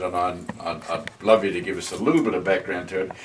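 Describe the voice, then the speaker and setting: Noticeable background noise is present as this man speaks fairly quickly. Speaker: interviewer. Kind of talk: interview questions.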